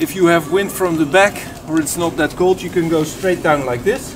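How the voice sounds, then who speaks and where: Noticeable noise fills the background while a man talks at a medium speed in a high register. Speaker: outdoor gear demonstrator. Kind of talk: tutorial. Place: garden. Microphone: camera far.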